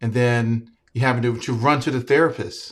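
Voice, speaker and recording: Somewhat breathy and in an American accent, the voice moves at a moderate pace with ordinary pitch variation over a very clean recording and a silent background. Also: man. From Virginia. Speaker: podcast host. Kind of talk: interview conversation.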